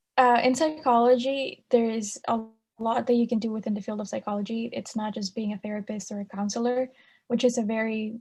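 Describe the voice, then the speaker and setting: Over music in the background, the speech holds a moderate pace with fairly even intonation. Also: woman. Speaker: college student. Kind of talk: casual chat.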